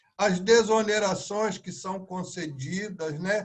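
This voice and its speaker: High pitch and ordinary pitch variation in a man's speech. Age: 70s. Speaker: public servants' association leader. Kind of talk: interview. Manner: halting, repeats words.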